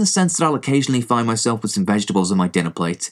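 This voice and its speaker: Very fast speech in an English accent swings very widely in pitch. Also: man, very clean recording, silent background. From England. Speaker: movie blogger and podcaster. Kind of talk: casual sweary movie review podcast. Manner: casual, irreverent, sweary.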